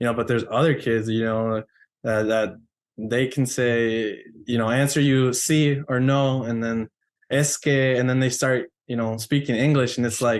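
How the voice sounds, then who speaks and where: With a Spanish accent, the speaker talks at a moderate pace with fairly even intonation. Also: man, medium pitch for a man. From US, Mexican-American family. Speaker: podcast guest, college alum. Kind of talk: casual chat. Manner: filler-heavy, conversational.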